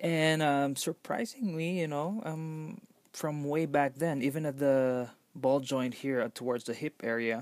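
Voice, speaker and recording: A man with a non-native accent speaks at a fairly slow pace and fairly high pitch, with ordinary pitch variation. The recording is very clean, with a silent background. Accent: noticeable non-native English. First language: not English. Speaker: toy collector reviewer. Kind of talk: product review. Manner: halting, many fillers.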